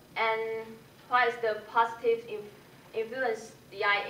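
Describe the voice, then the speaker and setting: The room echo is clearly audible here. Her delivery comes at a fairly slow pace. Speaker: English language student. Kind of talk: self-assessment presentation. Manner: halting, many fillers.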